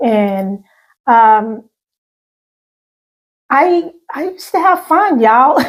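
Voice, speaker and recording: A woman with a Southern US accent speaks at a high pitch with lively intonation, captured in a very clean recording with a silent background. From US South, Arkansas (Pine Bluff). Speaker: channel host, recovering alcoholic. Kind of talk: interview testimony.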